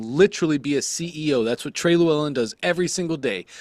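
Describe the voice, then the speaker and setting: A man talks at a fairly quick pace with lively intonation and an animated tone. The sound is dry and close with no echo. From New York then Georgia (moved at 11). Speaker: online business coach. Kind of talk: live group coaching call.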